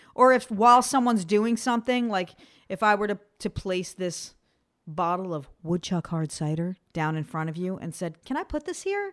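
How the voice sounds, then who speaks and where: Over a quiet background, a woman uses a normal speaking voice at a medium pitch and a moderate pace. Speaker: podcast co-host. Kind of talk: casual banter podcast. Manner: laughing, playful.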